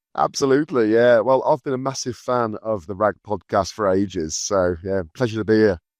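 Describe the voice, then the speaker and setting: With a Birmingham accent, a man talks at a fairly quick pace with hardly any pauses, in a fairly low voice with ordinary pitch variation, recorded dry and close with no echo against a quiet background. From England, Birmingham. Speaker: recruitment business founder. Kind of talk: podcast interview.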